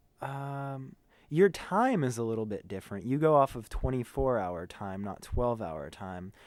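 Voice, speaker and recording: On a very clean recording with a silent background, a man of medium pitch talks at a fairly slow pace, with very wide pitch swings and big swings in loudness. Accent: American. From USA. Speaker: band tour manager. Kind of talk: casual interview. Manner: animated.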